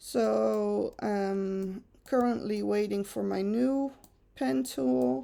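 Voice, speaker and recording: A woman with a Dutch accent speaks at a very slow pace. The recording is very clean, with a silent background. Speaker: photo retoucher. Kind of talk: tutorial. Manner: casual, chatty.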